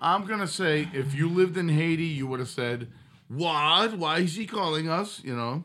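In audible room echo, a man with fairly high pitch talks at a moderate pace with ordinary pitch variation. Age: 50s. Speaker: musician. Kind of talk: casual chat.

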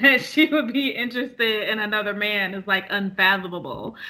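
Her pitch is fairly high for a woman, with ordinary variation. She has an unremarkable speaking voice. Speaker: podcast co-host. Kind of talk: casual chat.

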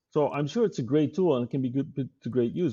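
A man with a Dutch accent talks at a very fast pace in a somewhat breathy voice. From Netherlands. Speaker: tech company CEO. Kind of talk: interview. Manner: halting.

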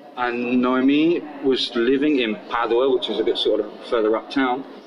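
Through noticeable background noise, a man speaks at a medium pitch. His delivery is fairly slow with fairly even intonation. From southern England (Portsmouth). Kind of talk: casual interview storytelling.

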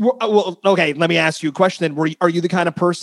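A man speaks with an American accent in a high pitch. The sound is dry and close, with no echo. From northern New Jersey. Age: 30s. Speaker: podcast host. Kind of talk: casual chat.

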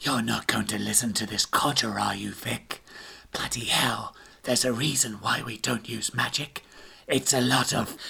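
A raspy man puts on a character voice at medium pitch and a moderate pace. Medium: read story. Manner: loud, scoffing.

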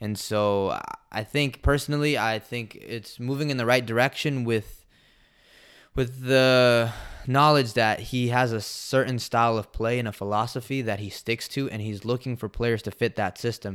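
An unremarkable speaking voice: a man with an American accent, medium pitch and fairly even intonation, at a moderate pace. The recording is very clean, with a silent background. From Washington DC area (DMV), Salvadoran heritage. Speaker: professional soccer player. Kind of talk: interview. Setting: studio.

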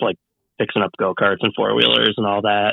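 At a fairly quick pace, a man with an unremarkable speaking voice talks at a fairly low pitch with fairly even intonation. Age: 30s. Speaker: moped builder and engineer. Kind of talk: casual chat.

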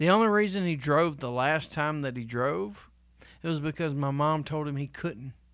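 On a very clean recording with a silent background, a man with a fairly high pitch sounds animated, moving at a moderate pace with ordinary pitch variation. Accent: Southern US. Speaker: podcast co-host. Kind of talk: casual chat.

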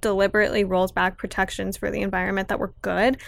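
On a very clean recording with a silent background, a woman with a Californian accent speaks at a fairly quick pace. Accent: Californian American. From Los Angeles (Pacoima). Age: 20s. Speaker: activist. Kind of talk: casual chat.

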